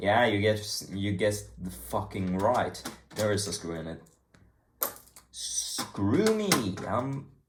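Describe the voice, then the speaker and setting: In an American accent, the speaker talks very slowly with ordinary pitch variation and long, frequent pauses, in a room with audible echo. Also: man, fairly low pitch for a man. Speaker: hobbyist YouTuber taking apart electronics. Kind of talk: casual tutorial-style vlog. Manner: casual, profane, rambling.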